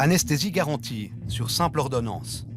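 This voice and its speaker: A man speaks at medium pitch with music in the background. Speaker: TV news reporter. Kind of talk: TV news report narration.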